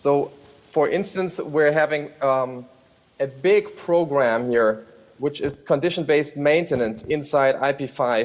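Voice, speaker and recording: This man has an ordinary speaking voice, a fairly high pitch and ordinary pitch variation, and he talks at a fairly slow pace. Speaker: rail freight program manager. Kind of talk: panel discussion. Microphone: hears own echo.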